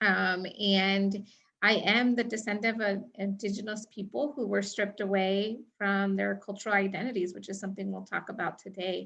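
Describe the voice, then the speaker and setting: In an American accent, a woman speaks at a medium pitch and moderate pace in a normal speaking voice. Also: quiet background. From United States, Mexican American. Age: 30s. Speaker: trainer. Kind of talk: training presentation.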